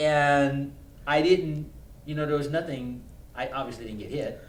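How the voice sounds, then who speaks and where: A man speaks at a fairly quick pace, with audible echo from the room. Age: 50s. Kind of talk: casual chat.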